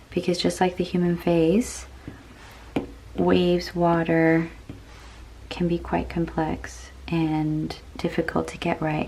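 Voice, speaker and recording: Against noticeable background noise, a woman talks at a very slow pace with long, frequent pauses. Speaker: digital artist. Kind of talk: relaxing art vlog narration to camera.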